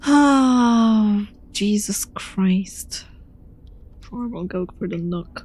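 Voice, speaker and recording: A woman speaks at a very slow pace, her voice somewhat breathy. She leaves long, frequent pauses. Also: medium pitch for a woman, ordinary pitch variation. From Romania, Bucharest. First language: Romanian. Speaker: vtuber streamer. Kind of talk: gaming livestream commentary. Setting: livestream.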